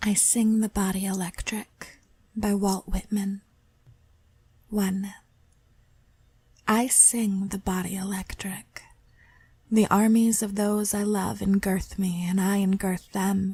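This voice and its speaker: A woman speaks at a very slow pace, somewhat breathy, with a dark, mellow tone. Her intonation is flat and monotone, with long, frequent pauses. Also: medium pitch for a woman. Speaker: amateur reader. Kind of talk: poetry reading.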